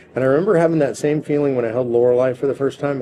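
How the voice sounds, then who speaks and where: There is noticeable background noise around this man. His voice sits at a medium pitch with ordinary variation. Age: 60s. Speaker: political activist leader. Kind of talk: interview.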